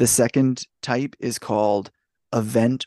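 A man's normal speaking voice at medium pitch, with ordinary pitch variation and a quiet background. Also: dry, close sound with no echo. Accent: Canadian. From Canada. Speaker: podcast host, card collector. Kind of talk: casual podcast talk. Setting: home recording at night.

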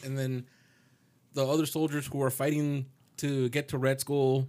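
A man with an unremarkable speaking voice. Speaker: podcast co-host. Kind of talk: casual banter.

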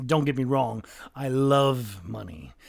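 In a very clean recording with a silent background, a man speaks fairly slowly in a smug tone. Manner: languid, dismissive, smug.

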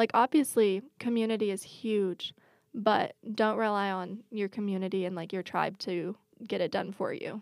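A woman's unremarkable speaking voice in an American accent, at a medium pitch and moderate pace with fairly even intonation, with a dry, close sound and no echo, in a very clean recording with a silent background. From Washington state, US. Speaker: social media manager and winery worker. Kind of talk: casual chat.

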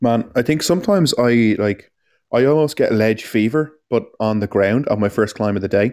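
A man with an Irish accent at a medium pitch, moderate pace, ordinary pitch variation and very even loudness, on a very clean recording with a silent background. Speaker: climbing podcast co-host. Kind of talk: casual chat.

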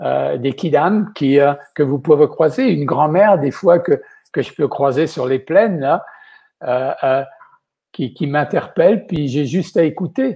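This man's fairly high voice has a dark, mellow tone, sounds somewhat breathy, and moves at a fairly slow pace with ordinary pitch variation. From western France (Vendée). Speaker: chef. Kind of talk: interview.

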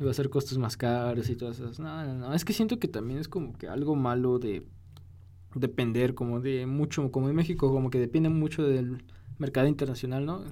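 With a dark, mellow tone, a man speaks at a medium pitch and a fairly quick pace, his pitch varying in an ordinary way. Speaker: podcast co-host. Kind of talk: casual chat.

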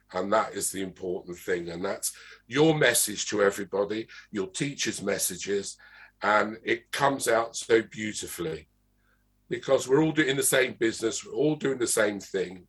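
Against a quiet background, a man with an English accent speaks at a medium pitch with lively intonation. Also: moderate pace. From England, London. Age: old. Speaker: interviewer, arts organization director. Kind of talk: interview. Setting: video call.

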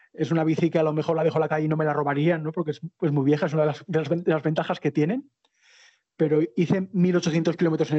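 A man with an Aragonese accent, fairly high in pitch, at a very fast pace. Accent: Aragonese Spanish (Spain). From Spain, Zaragoza (Aragon). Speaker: long-distance cycle traveller and author. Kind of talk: interview. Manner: halting, frequent repetitions.

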